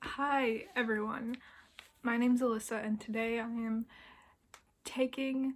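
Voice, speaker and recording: A soft-spoken woman talks with a fairly high pitch. Her intonation stays fairly even. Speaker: book vlogger. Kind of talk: casual vlog monologue.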